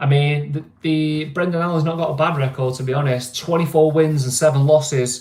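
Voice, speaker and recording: This man's intonation is fairly even. His voice is somewhat breathy. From northern England, Greater Manchester. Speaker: livestream host. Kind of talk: casual livestream chat. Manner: casual, hesitant with many fillers.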